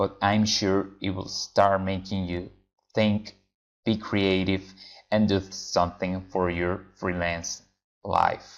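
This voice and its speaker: Very slowly and in a flat monotone, a man speaks at a very deep, low pitch with a Venezuelan accent. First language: Spanish. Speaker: freelance translator. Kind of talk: tutorial. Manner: casual with frequent fillers.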